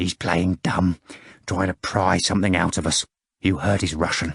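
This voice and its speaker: In a put-on character voice, a man whispers and growls at a moderate pace, raspy, with a dry, close sound and no echo. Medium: read story. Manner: urgent, conspiratorial.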